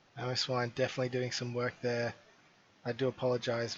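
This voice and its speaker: Noticeable background noise runs under delivery that goes at a fairly quick pace. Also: man. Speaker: esports caster. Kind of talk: live commentary. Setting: at home.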